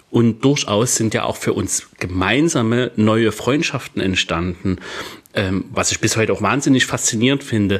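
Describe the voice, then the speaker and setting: A man at a medium pitch and moderate pace, ordinary pitch variation, with noticeable background noise. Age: 30s. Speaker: podcast co-host and DJ. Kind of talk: casual chat.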